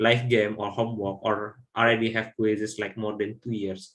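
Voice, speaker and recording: A man speaks with a non-native accent. His fairly low voice has a bright, sharp tone. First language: not English. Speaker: software trainer. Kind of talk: online training webinar. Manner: halting.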